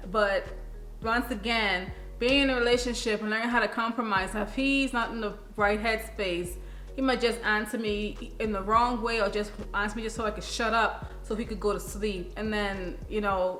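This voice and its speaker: A woman with a fairly high pitch and fairly even intonation speaks at a moderate pace, with audible room echo and noticeable background noise. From Caribbean. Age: young. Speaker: relationship vlogger. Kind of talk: casual advice chat.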